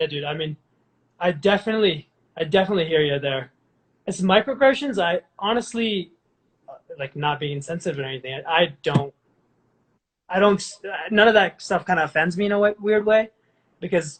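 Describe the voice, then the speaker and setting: Fairly quick, lively speech in an American accent, broken by long, frequent pauses. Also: man, high pitch for a man. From India, then US from about age ten. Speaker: podcast host. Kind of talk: casual podcast conversation.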